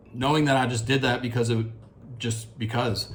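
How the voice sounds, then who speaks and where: Somewhat breathy, a man speaks at a fairly quick pace amid audible room echo. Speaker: fitness vlogger. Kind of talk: casual video diary. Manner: halting.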